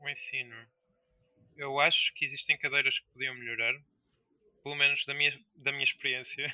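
A moderate pace broken by long, frequent pauses, with big swings in loudness. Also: man. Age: 20s. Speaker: indie game developer. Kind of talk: interview.

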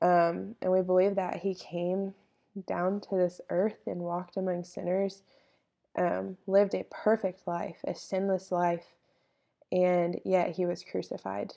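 A woman speaks at a fairly slow pace with a Texan accent, her pitch medium. Her intonation is flat and monotone, and her tone is dark and mellow. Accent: Texan Southern US. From East Texas. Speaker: podcast co-host, college student. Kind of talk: faith statement in casual podcast chat.

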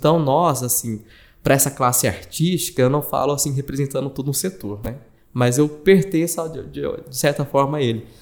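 This is a man with a plain, everyday voice. His pitch sits fairly high, and he talks at a fairly quick pace. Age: 20s. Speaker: journalist and digital marketing manager. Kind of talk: casual chat.

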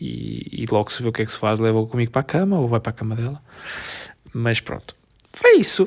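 Alternating a very fast pace with long, frequent pauses, a man speaks at a medium pitch with ordinary pitch variation. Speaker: podcast co-host. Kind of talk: casual chat. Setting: at home on the sofa.

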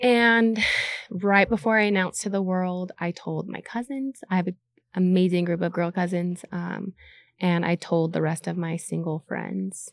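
A plain, everyday voice with an American accent, moderate pace and ordinary pitch variation, recorded very cleanly against a silent background with a dry, close sound and no echo. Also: woman, medium pitch for a woman. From Utah. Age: 30s. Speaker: content creator. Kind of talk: casual chat.

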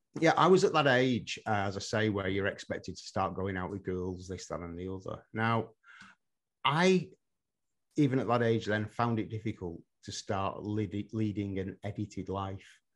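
Against a quiet background, a man with an English accent talks at a moderate pace in a fairly low voice with ordinary pitch variation. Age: 50s. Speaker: hypnotherapist and psychotherapist. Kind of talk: interview conversation.

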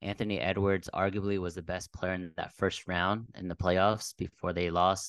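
A man with an American accent speaks in a very deep, low pitch with monotone, flat intonation at a moderate pace. The sound is dry and close with no echo, over a quiet background. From Texas, Dallas. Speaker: podcast co-host. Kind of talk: casual sports talk podcast.

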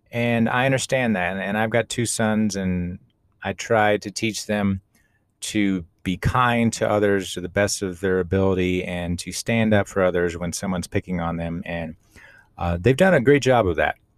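A man with an American accent talks in an unremarkable speaking voice, fairly low in pitch with ordinary pitch variation, at a moderate pace. The recording is very clean with a silent background and a dry, close sound with no echo. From Austin, Texas. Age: 40s. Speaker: podcast host and life coach. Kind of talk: solo podcast monologue, personal storytelling.

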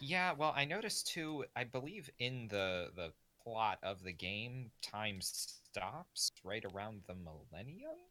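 Speaking at a very slow pace with hardly any pauses, a man uses a medium pitch, very wide pitch swings and a bright, sharp tone.

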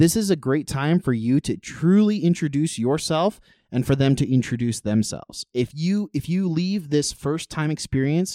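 A voice with a dark, mellow tone and lively intonation comes through dry and close with no echo in a very clean recording with a silent background. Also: man. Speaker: podcast host. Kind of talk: casual chat.

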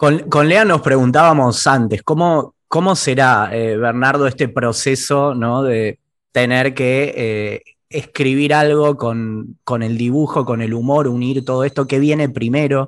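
A man with a plain, everyday voice at medium pitch, fairly slow pace with hardly any pauses, ordinary pitch variation, and a quiet background. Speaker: podcast host. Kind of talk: interview conversation.

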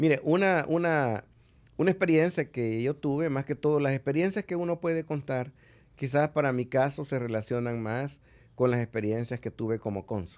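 On a very clean recording with a silent background, a man speaks at a moderate pace in a fairly high voice with ordinary pitch variation. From El Salvador. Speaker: ambassador. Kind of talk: interview conversation. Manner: hesitant, many filler sounds.

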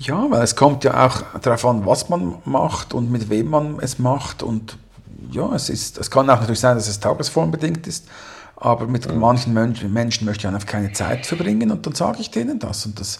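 At a moderate pace, a man talks with a medium pitch. His voice is somewhat breathy. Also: ordinary pitch variation. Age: 40s. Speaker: podcast co-host. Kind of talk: casual chat.

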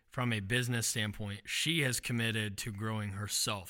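A man with an American accent speaks at a medium pitch in a bright, sharp tone, with fairly even intonation. His pace is moderate, and the recording is very clean, with a silent background. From Xenia, Ohio. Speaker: podcast host. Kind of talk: casual chat.

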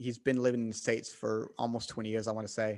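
Male speaker with a Southern US accent. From US South. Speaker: podcast host guest.

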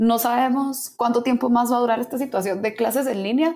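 A woman speaks with a fairly high pitch, a dark, mellow tone and ordinary pitch variation, recorded very cleanly against a silent background. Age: young. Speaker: university student. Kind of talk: casual interview.

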